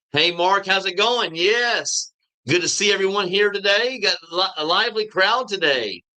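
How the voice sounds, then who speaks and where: A raised, projected voice with a bright, sharp tone speaks in an American accent. Its pitch variation is ordinary. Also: man, high pitch for a man. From US South. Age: 50s. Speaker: YouTuber living abroad. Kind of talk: live stream chat. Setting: live stream. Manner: halting.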